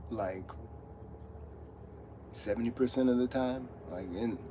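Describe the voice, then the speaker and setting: A man mumbles at a medium pitch, with audible room echo and noticeable background noise. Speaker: streamer talking about his dog. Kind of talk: casual livestream chat. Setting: livestream from a truck stop. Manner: mumbling; halting.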